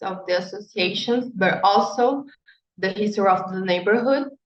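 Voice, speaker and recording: In a Brazilian Portuguese accent, a woman speaks with ordinary pitch variation. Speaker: architect and urban researcher. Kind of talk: panel talk. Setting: panel event. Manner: halting, many fillers.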